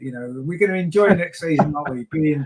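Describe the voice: A man at a fast pace, fairly high in pitch with ordinary pitch variation, a slightly mellow tone and a slightly husky edge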